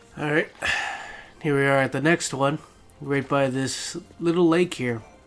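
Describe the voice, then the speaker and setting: A man's fairly high voice at a moderate pace, with fairly even intonation and music in the background. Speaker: let's play gamer. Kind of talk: gameplay commentary. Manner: casual, hesitant with fillers.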